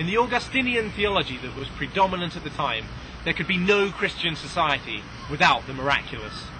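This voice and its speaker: A man speaks with a high pitch and lively intonation at a fairly quick pace. There is noticeable background noise. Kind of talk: scripted narration, read aloud.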